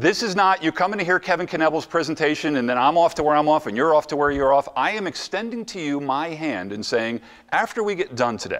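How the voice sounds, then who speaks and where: A man with an American accent talks at a very fast pace, his pitch fairly high. His tone is animated and his intonation lively. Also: hardly any pauses. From New Jersey. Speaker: motivational speaker. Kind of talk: conference presentation. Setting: stage with audience.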